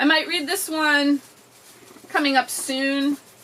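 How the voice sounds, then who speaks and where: Over noticeable background noise, a woman delivers a raised, projected voice in an animated tone, high in pitch and at a moderate pace. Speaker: book video creator. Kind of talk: casual book haul chat. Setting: indoors by an open window.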